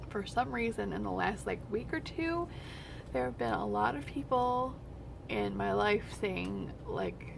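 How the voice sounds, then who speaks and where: A soft-spoken woman at a fairly slow pace, with audible room echo. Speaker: vlogger, medical office receptionist. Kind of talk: personal vlog update. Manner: hesitant, many fillers.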